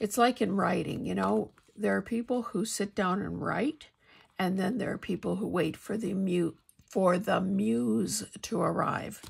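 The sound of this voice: Using a put-on character voice, a woman speaks raspily at a medium pitch and a moderate pace.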